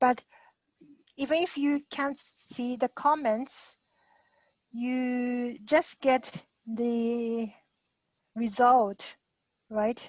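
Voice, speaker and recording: A woman with a Japanese accent speaks at a high pitch with fairly even intonation, at a very slow pace. Her delivery has long, frequent pauses, with a dry, close sound with no echo. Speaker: guest speaker. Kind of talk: Q&A after a talk. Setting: video call. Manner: halting.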